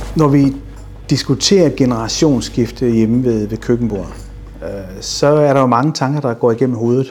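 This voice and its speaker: A man speaks with an unremarkable speaking voice at medium pitch. His pace is moderate and his pitch variation ordinary. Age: 50s. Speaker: business owner. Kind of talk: interview.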